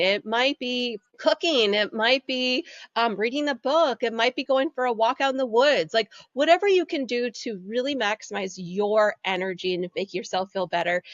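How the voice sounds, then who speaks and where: Her pitch is fairly high, and this woman's voice makes very wide pitch swings. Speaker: energy healer and business coach. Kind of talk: podcast interview. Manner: fast.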